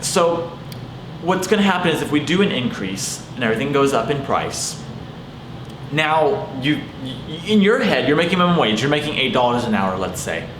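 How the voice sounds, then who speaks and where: An animated man at a moderate pace, fairly high in pitch with very wide pitch swings, amid audible room echo and noticeable background noise. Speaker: vlogger, car wash maintenance worker. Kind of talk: casual vlog monologue.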